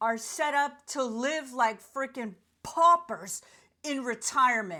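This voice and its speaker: In a very clean recording with a silent background, a woman with an American accent speaks angrily in a high, bright, sharp voice. She projects loudly, and her pitch varies in an ordinary way. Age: 60s. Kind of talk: casual talk to camera. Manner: angry, indignant rant.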